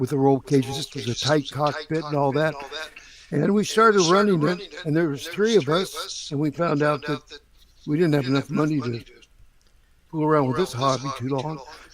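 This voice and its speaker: Against noticeable background noise, a man talks at a moderate pace and a fairly high pitch with ordinary pitch variation. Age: 80s+. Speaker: retired drag racer and nitrous business founder. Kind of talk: casual chat.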